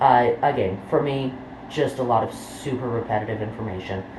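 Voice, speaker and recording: Speech at a fairly slow pace over noticeable background noise. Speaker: true crime YouTuber. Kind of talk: casual talk to camera. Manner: rambling, many filler words.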